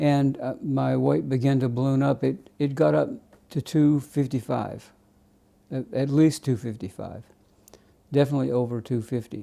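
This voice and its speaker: A man with a dark, mellow tone speaks at medium pitch and a moderate pace, with ordinary pitch variation and long, frequent pauses. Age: 70s. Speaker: vlogger sharing personal weight loss story. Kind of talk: personal testimony monologue. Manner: halting, with many fillers.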